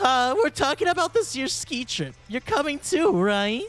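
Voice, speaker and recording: Doing a put-on character voice, a man speaks at a moderate pace in an extremely high pitch with very wide pitch swings. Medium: game stream.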